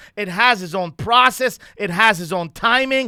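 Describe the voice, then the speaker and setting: On a very clean recording with a silent background, a man projects a raised, high voice with a bright, sharp tone, lively intonation and a moderate pace. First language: not English (Persian or French). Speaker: lead trainer of men's coaching program. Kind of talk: podcast conversation. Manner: halting, with filler words.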